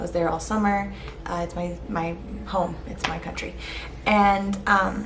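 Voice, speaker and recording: There is noticeable background noise and audible room echo as a woman with an American accent speaks at a fairly slow pace with long, frequent pauses. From US, Iranian family. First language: Farsi. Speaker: vlogger. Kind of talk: emotional vlog monologue. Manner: halting, many fillers.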